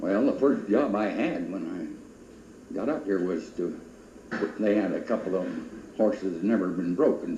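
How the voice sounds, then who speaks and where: The speech moves at a moderate pace, broken by long, frequent pauses. Room echo is audible throughout. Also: man. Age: 80s+. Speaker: former stagecoach driver. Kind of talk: oral history interview. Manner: halting, many fillers.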